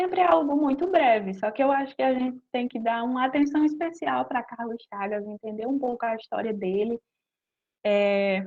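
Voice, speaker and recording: With lively intonation and a high pitch, a woman talks at a fairly slow pace, leaving long, frequent pauses. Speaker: master's student researcher in medicinal chemistry. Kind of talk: lecture.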